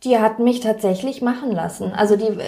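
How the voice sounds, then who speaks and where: A woman with a normal speaking voice, fairly high pitch, fairly even intonation, and a moderate pace. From Germany, Pforzheim. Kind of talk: interview.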